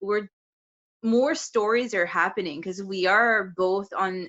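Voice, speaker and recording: Speaking with a strong French accent, a woman uses a medium pitch, ordinary pitch variation and a moderate pace. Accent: thick French. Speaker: podcast co-host. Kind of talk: casual chat.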